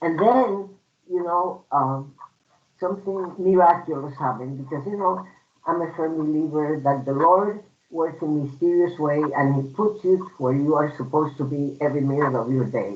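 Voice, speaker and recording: A Puerto Rican accent at a moderate pace. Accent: Puerto Rican Spanish accent, lifelong. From Puerto Rico. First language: Spanish. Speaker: human rights commissioner. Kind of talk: personal testimony at a storytelling event.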